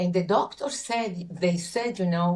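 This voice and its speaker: A woman speaks at a moderate pace in a Spanish accent, her fairly low voice somewhat breathy. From Chile. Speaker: coach. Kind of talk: interview testimony. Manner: halting.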